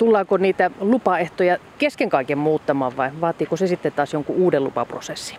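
Noticeable background noise runs under speech that keeps a moderate pace and has hardly any pauses. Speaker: radio reporter. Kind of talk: radio interview. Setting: outdoors by flowing water.

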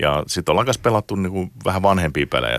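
A man rattles off his words very fast with noticeable noise behind him. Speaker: games industry executive. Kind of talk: interview. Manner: halting.

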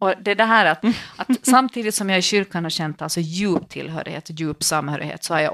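Lively intonation marks a woman speaking at a moderate pace. The sound is dry and close with no echo over a quiet background. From Finland, Swedish-speaking archipelago. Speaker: priest and podcast co-host. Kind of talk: casual chat.

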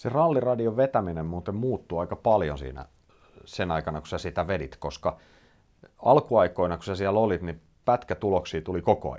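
Very deep, low male voice with a dark, mellow tone, vocal fry and lively intonation. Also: moderate pace, big swings in loudness, quiet background. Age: 40s. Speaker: podcast host, rally journalist. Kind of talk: casual interview.

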